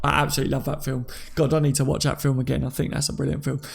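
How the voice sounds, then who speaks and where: With a Cockney accent, a man speaks with fairly even intonation. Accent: Cockney, London English. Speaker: livestreamer reading chat. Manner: casual, chatty, self-deprecating.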